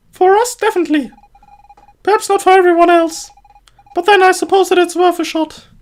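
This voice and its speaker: Using a squeaky put-on character voice, a man speaks at an extremely high pitch. His pace is fairly quick, broken by long, frequent pauses. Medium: solo performance. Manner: practical, direct.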